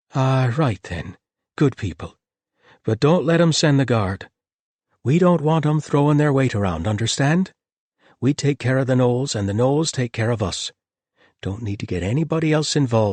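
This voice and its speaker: Using a gruff, put-on character voice at medium pitch, a man speaks at a moderate pace with long, frequent pauses against a quiet background. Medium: read story.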